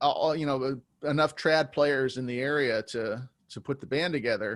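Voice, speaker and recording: A man with an unremarkable speaking voice talks at a fairly high pitch and a moderate pace. The recording is very clean with a silent background. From California, US. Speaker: jazz musician. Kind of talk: interview.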